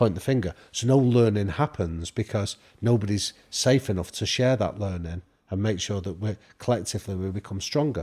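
A man's dark, mellow voice in a northern English accent, fairly low in pitch with ordinary pitch variation, at a moderate pace on a very clean recording with a silent background. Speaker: professor and podcaster. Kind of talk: casual interview chat.

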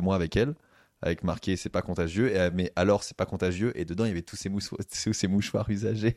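The background is quiet as a man's very deep, low voice moves through ordinary pitch variation. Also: dry, close sound with no echo. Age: 30s. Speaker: stand-up comedian. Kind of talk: casual chat.

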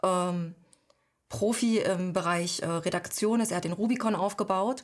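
A woman's normal speaking voice at medium pitch, with fairly even intonation and a moderate pace, on a very clean recording with a silent background. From eastern Germany, Halle an der Saale. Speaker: author and editor. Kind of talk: interview.

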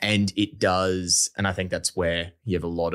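In a very clean recording with a silent background, a man speaks in an Australian accent. His pitch is very deep and low, and his intonation is fairly even. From Australia, Brisbane. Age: 20s. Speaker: startup founder. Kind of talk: casual interview.

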